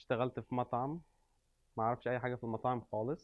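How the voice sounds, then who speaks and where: A man speaks at medium pitch with a monotone, flat intonation. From Egypt. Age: 30s. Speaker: restaurant owner, immigrant. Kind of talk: interview. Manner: hesitant with many fillers.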